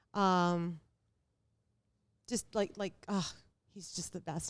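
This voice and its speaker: Fairly low in pitch, a woman speaks at a moderate pace. The recording is very clean, with a silent background. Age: 40s. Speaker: real estate investor and entrepreneur. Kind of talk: casual chat.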